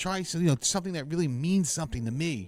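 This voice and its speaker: Very fast speech from a man with an American accent, very wide pitch swings, and music in the background. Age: 60s. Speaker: vlogger. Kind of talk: personal monologue. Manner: halting.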